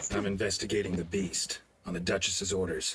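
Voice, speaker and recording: At a fairly quick pace, a man does a put-on character voice with a fairly low pitch. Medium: video game. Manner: dry, laconic.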